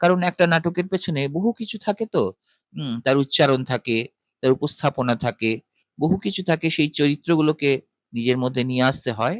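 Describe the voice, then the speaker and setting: In a normal speaking voice, a man talks with a fairly high pitch. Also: lively intonation, dry, close sound with no echo. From West Bengal. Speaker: voice artist. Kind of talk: interview answer.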